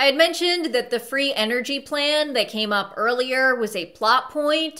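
A woman speaks in a raised, projected voice with ordinary pitch variation. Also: moderate pace. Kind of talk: movie commentary. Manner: sarcastic, wry.

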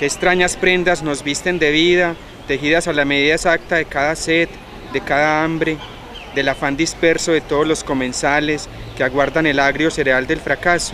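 Recorded dry with no echo over light background noise, a man speaks in a flat monotone at a very even loudness. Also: fairly high pitch for a man, moderate pace. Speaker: poetry reader. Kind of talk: poetry reading. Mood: calm, reflective. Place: garden.

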